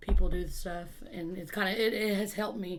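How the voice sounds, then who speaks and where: In a Texan accent, a woman speaks with fairly even intonation amid audible room echo. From Texas, Wichita Falls. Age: 30s. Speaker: peer support specialist. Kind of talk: interview. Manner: halting.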